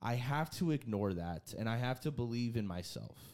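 In a very clean recording with a silent background, a man with a plain, everyday voice talks at a medium pitch with lively intonation. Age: 20s. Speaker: podcast host. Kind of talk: casual chat. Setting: studio.

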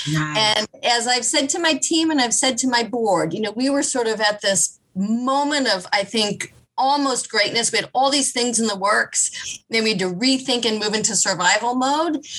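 With a normal speaking voice and an American accent, a woman with a fairly high pitch talks at a moderate pace, using lively intonation, very even loudness and hardly any pauses. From US Midwest, Kansas City. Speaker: nonprofit chief executive. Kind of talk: interview conversation.

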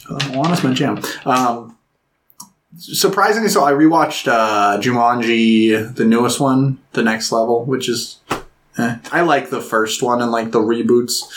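A plain, everyday voice: a man at medium pitch, ordinary pitch variation, fairly slow pace. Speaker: podcast co-host. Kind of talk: casual chat.

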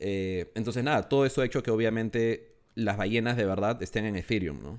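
A man with an unremarkable speaking voice keeps a moderate pace, his pitch varying in an ordinary way. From Peru. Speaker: NFT project founder. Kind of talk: casual interview.

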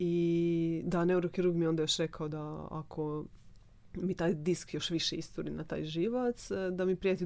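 Fairly even intonation marks a dark, mellow voice. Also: woman. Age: 30s. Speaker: theta healing practitioner. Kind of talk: casual chat.

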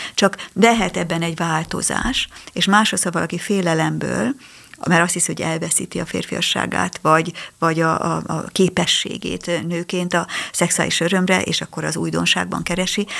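A woman talks at a moderate pace amid noticeable background noise. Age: 60s. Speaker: psychologist. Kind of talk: radio interview. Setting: studio. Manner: halting.

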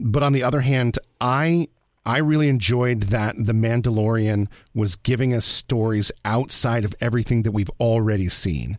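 Here is a man with an unremarkable speaking voice, medium in pitch, talking at a fairly slow pace. The recording is very clean, with a silent background. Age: 40s. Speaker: radio producer and podcast host. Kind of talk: casual chat.

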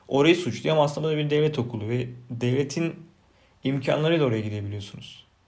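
Amid audible room echo, a somewhat breathy man speaks at a fairly quick pace with a fairly high pitch and ordinary pitch variation. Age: 30s. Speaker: podcaster. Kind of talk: unscripted solo monologue. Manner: unpolished, self-repeating, swallowing words.

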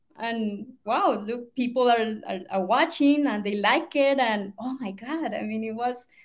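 This woman has a Colombian accent and a fairly high pitch. Her pitch varies in an ordinary way. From Colombia (Bogota). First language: Spanish. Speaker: online business student, stay-at-home mom. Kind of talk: interview testimony. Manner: energetic, laughing.

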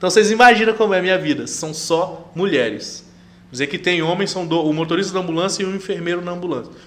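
A man's high pitch with ordinary pitch variation, in audible room echo. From Brazil, Rondônia (interior, São Felipe do Oeste). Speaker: chef and air force serviceman. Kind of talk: casual interview.

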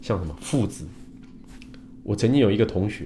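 A man's fairly low voice at a fairly quick pace. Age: 50s. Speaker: Chinese medicine doctor and engineer. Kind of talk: livestream talk. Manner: many filler sounds.

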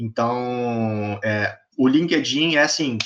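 A man with an ordinary speaking voice at medium pitch and ordinary pitch variation, against a quiet background. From Brazil, various states. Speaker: engineering student and startup founder. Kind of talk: casual interview.

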